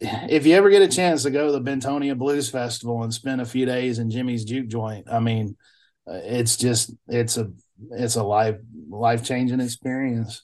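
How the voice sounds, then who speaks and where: A man's medium-pitched voice in a Mississippi accent, at a moderate pace with ordinary pitch variation, over a quiet background. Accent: Southern US (Mississippi). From US South, Mississippi (Bolton). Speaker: blues musician. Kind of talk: casual interview chat.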